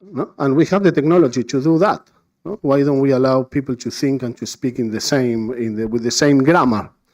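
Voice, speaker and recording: A man with a Spanish accent speaks at a medium pitch with ordinary pitch variation. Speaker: conference panelist. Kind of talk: conference talk. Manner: halting, many fillers and repetitions.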